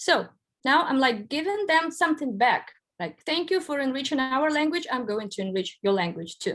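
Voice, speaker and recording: A woman with a Russian accent speaks at a moderate pace in a high voice that swings very widely in pitch. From Belarus, Minsk. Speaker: writer. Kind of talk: lecture.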